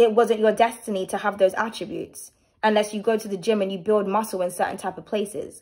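Over a quiet background, a woman talks at a very fast pace. Her pitch is medium. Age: 30s. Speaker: tarot reader and channel host; vlogger. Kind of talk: tarot reading with personal rant. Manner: animated. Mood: opinionated, candid, sometimes sharp. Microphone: phone near.

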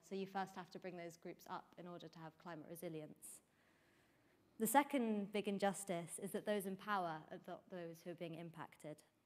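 The woman talks at a fairly quick pace. Her intonation stays fairly even. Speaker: student climate activist. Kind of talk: panel discussion. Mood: earnest, engaged. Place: hall. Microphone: lapel.

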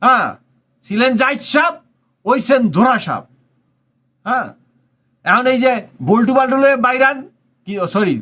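In a raised, projected voice, a man speaks at an extremely high pitch with a bright, sharp tone and ordinary pitch variation. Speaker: political commentator. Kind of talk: political commentary monologue.

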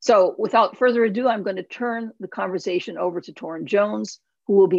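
A woman at a fairly quick pace, ordinary pitch variation, big swings in loudness, dry sound with no echo, and a quiet background. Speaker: academic center co-director. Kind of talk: event introduction.

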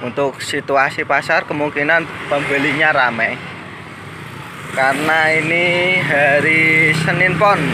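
Speech comes at a very slow pace over noticeable background noise. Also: dry sound with no echo. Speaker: livestock market vlogger. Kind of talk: casual vlog commentary. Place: market. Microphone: phone near.

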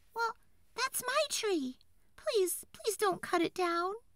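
In a put-on character voice of extremely high pitch, the speaker talks at a fairly slow pace. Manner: pleading, cried.

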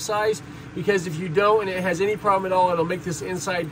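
Noticeable background noise runs beneath talking at a fairly quick pace. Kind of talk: tutorial. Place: workshop. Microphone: phone near.

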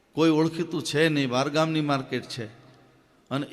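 This is a man with a plain, everyday voice. His intonation stays fairly even. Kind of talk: religious discourse. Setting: temple stage with audience.

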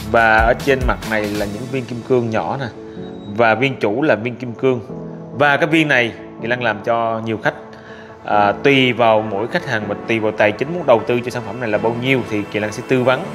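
A man's fairly even intonation over clear music in the background. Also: moderate pace. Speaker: presenter. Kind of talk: product review presentation. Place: shop.

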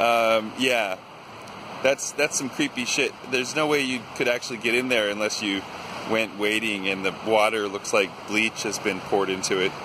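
Over noticeable background noise, a man talks at a moderate pace with very even loudness and fairly even intonation. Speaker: vlogger. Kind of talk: casual vlog chat. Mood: playful, spooked curiosity. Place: waterside. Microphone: phone near.

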